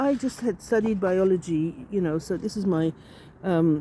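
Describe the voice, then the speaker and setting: This woman speaks at a moderate pace in a medium pitch. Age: 60s. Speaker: artist. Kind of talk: personal storytelling. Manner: halting, many fillers.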